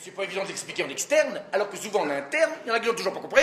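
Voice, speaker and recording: Over loud background noise, a raised, projected voice carries lively intonation. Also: man. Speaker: comedian. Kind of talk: humorous corporate keynote. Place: hall. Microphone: lapel.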